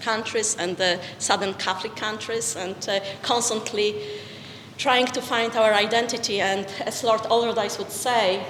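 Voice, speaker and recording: Monotone, flat intonation in a Polish accent at a fairly slow pace, with audible room echo and noticeable background noise. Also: woman. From Poland. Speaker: peace-building charity leader. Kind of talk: lecture.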